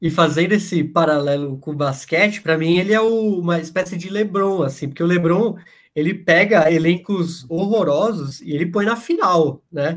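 This man's voice is high-pitched, moving at a moderate pace. He leaves hardly any pauses. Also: ordinary pitch variation. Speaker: podcast host. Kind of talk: casual chat. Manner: halting.

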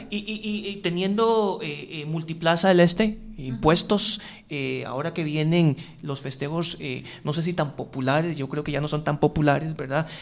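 In an unremarkable speaking voice, a man talks at a moderate pace with a fairly high pitch and ordinary pitch variation. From Costa Rica, Curridabat. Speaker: radio host. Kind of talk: radio interview.

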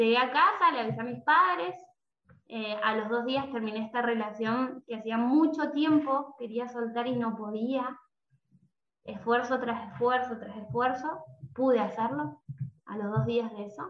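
With an ordinary speaking voice, a woman goes fairly slowly, her fairly high pitch varying in an ordinary way. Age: 20s. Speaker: music teacher and coach. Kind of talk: interview conversation.

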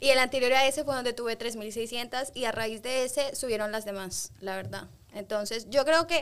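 Speaking at a fairly quick pace with fairly even intonation, a woman has a fairly high pitch and a plain, everyday voice. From Spain and London, Ecuadorian parents. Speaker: manager. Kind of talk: casual chat.

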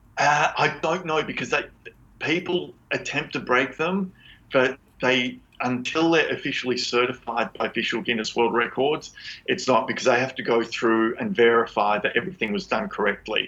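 A man's bright, sharp tone at medium pitch, with lively intonation and a moderate pace. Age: 50s. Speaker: world record holder in pull-ups and rope climbing. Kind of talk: interview. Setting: remote call from Australia. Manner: animated. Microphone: poor connection at times.

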